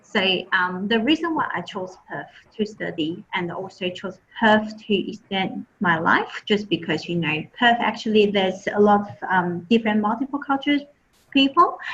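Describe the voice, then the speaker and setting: A woman speaks with a Chinese accent. Her intonation is lively. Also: medium pitch for a woman, moderate pace. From Taiwan. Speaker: admissions and marketing officer. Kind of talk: presentation.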